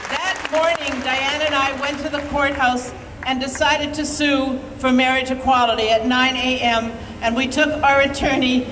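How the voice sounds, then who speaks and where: Over noticeable background noise and audible room echo, a woman with a high pitch speaks at a moderate pace in a monotone, flat intonation. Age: 60s. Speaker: activist. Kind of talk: protest rally speech. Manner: impassioned.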